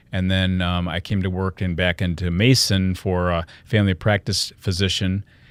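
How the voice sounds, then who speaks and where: A man's very deep, low voice with a Michigan accent, monotone and flat, at a moderate pace with hardly any pauses, dry and close with no echo, in a very clean recording with a silent background. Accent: US Midwest (Michigan). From Michigan, Lansing. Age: 60s. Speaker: health and wellness speaker, company founder. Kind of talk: podcast interview. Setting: studio.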